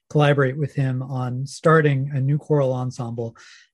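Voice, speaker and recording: A man speaks with an American accent at a fairly high pitch. His voice is somewhat breathy. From US (Pennsylvania, Alabama, Oregon, Indiana). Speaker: hymn text writer and music editor. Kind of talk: interview.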